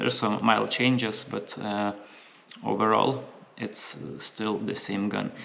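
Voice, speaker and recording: A man's fairly low voice with ordinary pitch variation at a fairly slow pace, against noticeable background noise. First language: not English (English is third language). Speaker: gun reviewer. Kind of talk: product review. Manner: halting, many fillers.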